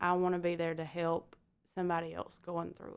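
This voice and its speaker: On a very clean recording with a silent background, a woman with a Southern US accent speaks at a moderate pace in a fairly low pitch. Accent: Southern US (Georgia). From US South, Georgia. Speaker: medical imaging worker sharing infertility story. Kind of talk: personal testimony in interview.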